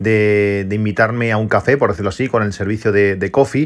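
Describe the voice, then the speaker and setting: At a very fast pace, this man gets his words out. His intonation stays fairly even at a medium pitch. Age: 40s. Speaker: tech podcast host. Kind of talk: casual solo podcast monologue. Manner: halting, many repetitions and fillers.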